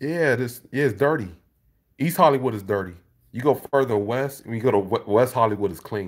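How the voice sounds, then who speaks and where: A man at a fairly quick pace with ordinary pitch variation against a quiet background. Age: 30s. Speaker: YouTuber and beat maker; YouTuber. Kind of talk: casual livestream chat with viewers. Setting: livestream from home, camera. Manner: casual, conversational. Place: home room. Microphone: phone near.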